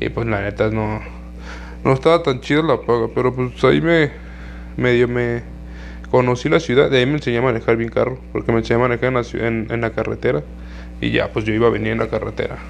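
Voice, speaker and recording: A man with a Mexican accent talks very fast. Long pauses break up his speech often. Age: 20s. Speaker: podcaster. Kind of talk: casual monologue.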